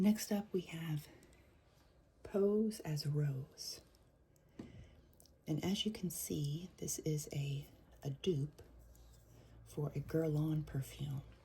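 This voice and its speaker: Soft-spoken and somewhat breathy, the speaker moves at a very slow pace with ordinary pitch variation and long, frequent pauses. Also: woman, very deep, low pitch for a woman. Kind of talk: soft-spoken ASMR perfume review. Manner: soft-spoken, relaxing.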